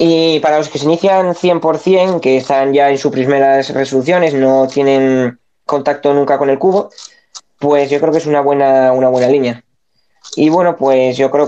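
A man's fairly high voice with a dark, mellow tone, very even loudness, fairly even intonation and a moderate pace. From Spain. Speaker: speedcuber. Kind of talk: casual chat. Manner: hesitant, many fillers.

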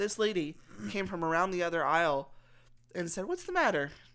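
A woman's fairly low, unremarkable speaking voice in an American accent, fairly quick, with ordinary pitch variation. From Texas. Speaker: podcast co-host. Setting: living room at home.

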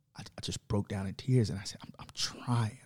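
A man with an American accent speaks fairly quickly at medium pitch with ordinary pitch variation. His tone is dark, mellow and somewhat breathy, with a dry, close sound and no echo. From Chicago, south side. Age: 30s. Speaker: government and politics worker, former basketball coach. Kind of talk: casual chat.

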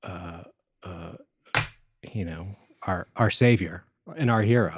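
Speaking with an American accent, a man sounds somewhat breathy at a fairly slow pace. The sound is dry and close, with no echo. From Colorado. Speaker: realtor and friend of host. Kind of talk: casual conversation interview. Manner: soft-spoken, gets animated when passionate; halting, repeats words.

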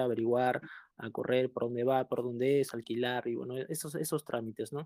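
A man with an ordinary speaking voice talks at a moderate pace and a medium pitch, with fairly even intonation. The recording is very clean with a silent background, and the sound is dry and close with no echo. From southern Peru. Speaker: recent immigrant caller. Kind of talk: casual group discussion.

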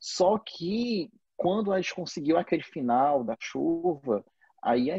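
The man's voice has a dark, mellow tone and very wide pitch swings. The sound is dry and close, with no echo. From Brazil, Fortaleza. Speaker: film director. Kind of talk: casual interview. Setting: video call.

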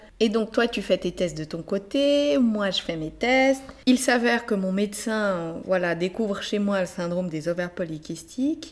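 Here is a woman with an unremarkable speaking voice and a medium pitch. Her intonation is lively, her pace fairly slow, with hardly any pauses. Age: 30s. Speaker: podcast host. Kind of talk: interview conversation with spouse.

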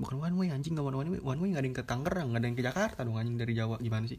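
A man speaks at a very fast pace and medium pitch. His voice is somewhat breathy, with ordinary pitch variation. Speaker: podcast host. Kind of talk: casual solo monologue. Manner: rambling, fast, filler-heavy.

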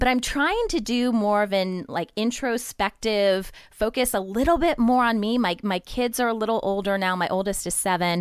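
In an American accent, a woman uses a plain, everyday voice at a medium pitch, with ordinary pitch variation and a moderate pace. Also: very clean recording, silent background. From Ohio, US Midwest. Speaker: podcast network founder. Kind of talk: casual interview.

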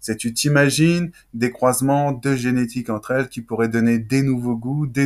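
This man has a normal speaking voice at a medium pitch, talking at a moderate pace with fairly even intonation. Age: 30s. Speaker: talk show host and creator. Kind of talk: interview. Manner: casual, slangy.

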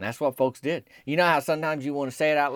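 A man with a Southern US accent talks at a very fast clip with fairly even intonation, his voice dry and close with no echo on a very clean recording against a silent background. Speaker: podcast host and storyteller. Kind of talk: comedic storytelling monologue.

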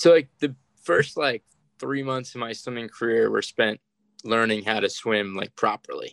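A man with an unremarkable speaking voice talks at a moderate pace and medium pitch, with ordinary pitch variation and a dry, close sound with no echo. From US, Maryland. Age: 20s. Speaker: Paralympic swimmer. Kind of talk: interview. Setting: remote call.

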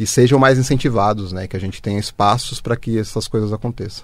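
A plain, everyday voice belongs to this man, pitched fairly low with fairly even intonation. The recording is very clean, with a silent background. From Brazil, Osasco (São Paulo metro area). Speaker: journalist and editor. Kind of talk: interview.

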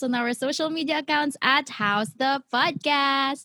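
The pace is very slow, with ordinary pitch variation. The sound is dry and close, with no echo. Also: woman. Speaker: podcast host and singer. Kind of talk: casual chat.

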